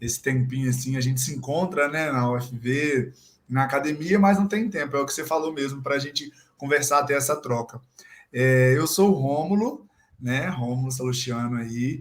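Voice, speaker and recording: Delivered at a moderate speed, this somewhat breathy voice shows ordinary pitch movement. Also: man, fairly high pitch for a man. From Brazil, Minas Gerais (Guidoval). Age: 20s. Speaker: physical education student and gym intern. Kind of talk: casual chat.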